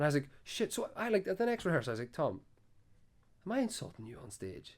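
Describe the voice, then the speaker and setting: A man with a Donegal accent talks at a very fast pace and high pitch, with very wide pitch swings and big swings in loudness. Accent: Donegal Irish. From Ireland, Donegal. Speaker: folk band musician. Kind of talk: casual chat. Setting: after a gig at a venue.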